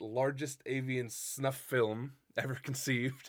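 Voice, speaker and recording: A man with a normal speaking voice talks at a medium pitch and a fairly slow pace. The recording is very clean, with a silent background. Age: 20s. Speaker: podcast co-host. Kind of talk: casual chat.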